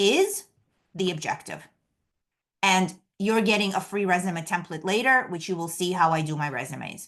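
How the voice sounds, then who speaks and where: With a New York accent and lively intonation, a woman of medium pitch speaks against a quiet background. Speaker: career coach. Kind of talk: webinar presentation. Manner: fast.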